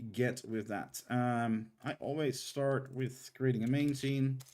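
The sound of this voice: Moving at a fairly slow pace, a man talks at medium pitch with a slightly mellow tone.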